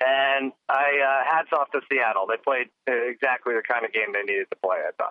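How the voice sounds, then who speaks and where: At a moderate pace, a normal speaking voice keeps fairly even intonation and very even loudness. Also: man, medium pitch for a man. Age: 40s. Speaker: sports podcast co-guest, football bettor. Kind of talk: casual chat.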